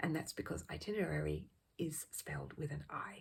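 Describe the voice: A woman speaks at a moderate pace in a low pitch with ordinary pitch variation. Her voice has a husky, rough edge and vocal fry.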